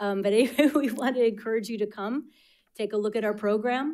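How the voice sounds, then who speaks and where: Over a quiet background, a woman with an American accent speaks at a moderate pace. Her pitch varies in an ordinary way. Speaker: school program administrator; presenter. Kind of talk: presentation at board meeting. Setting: school board meeting room. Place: meeting room. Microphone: podium.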